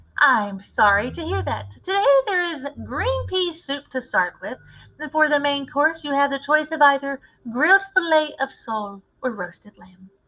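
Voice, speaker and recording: Putting on a character voice, a woman speaks high in pitch at a moderate pace, with very wide pitch swings and big swings in loudness. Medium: read story. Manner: polite, formal.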